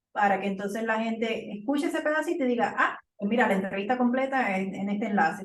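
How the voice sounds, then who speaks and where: A woman's fairly high-pitched voice is heard with audible room echo. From Puerto Rico. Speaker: podcaster. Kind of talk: casual chat.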